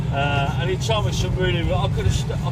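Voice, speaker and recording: In a Birmingham accent, a man talks at a very fast pace over noticeable background noise with audible room echo. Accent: Birmingham (Brummie). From English Midlands, Birmingham. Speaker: travel vlogger. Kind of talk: casual vlog monologue. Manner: halting, many repetitions and fillers.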